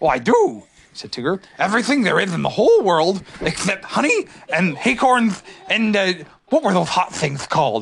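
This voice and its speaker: At a middle pitch, someone uses a put-on character voice at a moderate pace. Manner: cheerful, bouncy, boastful.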